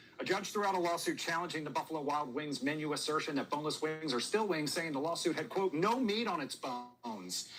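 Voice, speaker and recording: A man with an American accent at a fairly high pitch, talking at a very fast pace with lively intonation and hardly any pauses, over noticeable background noise. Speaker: TV talk show host. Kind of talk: live TV news chat; news reading.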